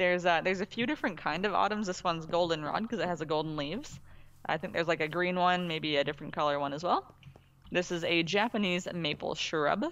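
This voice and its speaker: A woman talks at a fairly quick pace with a fairly low pitch. She has an unremarkable speaking voice. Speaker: gaming co-host. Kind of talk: casual gameplay commentary.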